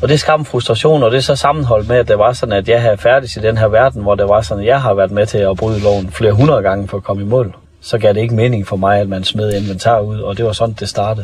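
A man's very fast, fairly low-pitched speech with hardly any pauses and ordinary pitch variation, over noticeable background noise. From North Jutland, Denmark. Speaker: former police officer turned public speaker. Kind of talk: interview.

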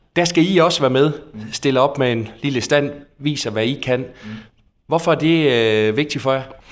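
Fairly high in pitch with ordinary pitch variation, a man speaks at a fairly slow pace in a plain, everyday voice. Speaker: podcast interviewer. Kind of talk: interview. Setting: on location in a bakery.

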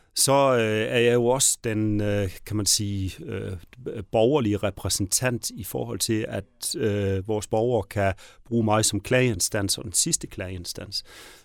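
In a very clean recording with a silent background, a man with a fairly low voice talks very slowly with ordinary pitch variation. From Southern Jutland, Denmark. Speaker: mayor and politician. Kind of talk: interview. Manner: halting, many fillers.

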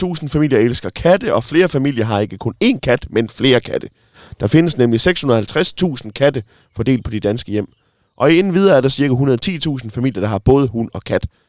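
A man talks in a plain, everyday voice at medium pitch with lively intonation and a moderate pace. The recording is very clean with a silent background and a dry, close sound with no echo. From Denmark, Sønderborg. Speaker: radio host. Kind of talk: casual chat. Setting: in a bus.

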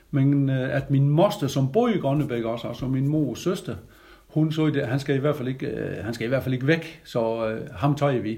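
Moderate pace, a somewhat breathy delivery, and ordinary pitch variation. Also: man, fairly high pitch for a man. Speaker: retired military instructor. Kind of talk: interview.

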